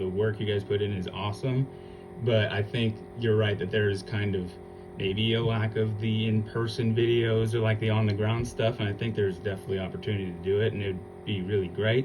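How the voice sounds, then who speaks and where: Over music in the background and audible room echo, the speaker keeps a fairly quick pace and fairly even intonation. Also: man. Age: 30s. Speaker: podcast host. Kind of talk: casual chat.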